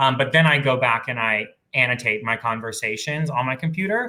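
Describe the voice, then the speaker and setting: Speaking at a fairly quick pace, a man has a bright, sharp tone, medium pitch and ordinary pitch variation. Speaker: recruiter. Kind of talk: panel Q&A discussion. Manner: fast.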